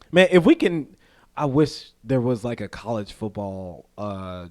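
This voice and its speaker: An American-accented man with ordinary pitch variation, in a very clean recording over a silent background. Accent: Southern US accent, noted as strong up north. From US South. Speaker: podcast co-host. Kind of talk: casual chat. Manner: animated.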